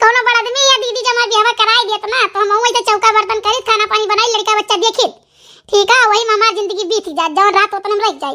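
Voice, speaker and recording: A woman performs a cartoonish character voice at an extremely high pitch. She talks at a very fast pace. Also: hardly any pauses. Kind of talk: rural comic family drama. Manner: warm, calm, forgiving.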